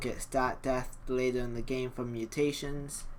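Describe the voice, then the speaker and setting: A man speaks at a medium pitch in a monotone, flat intonation. Audible room echo surrounds the voice. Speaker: gaming video creator. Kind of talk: let's play commentary. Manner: casual, with filler ums.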